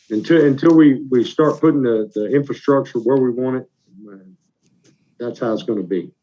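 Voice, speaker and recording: A man's dark, mellow tone broken by long, frequent pauses. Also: medium pitch for a man, ordinary pitch variation, moderate pace. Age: younger than 61. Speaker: local government official, show co-host. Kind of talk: casual chat.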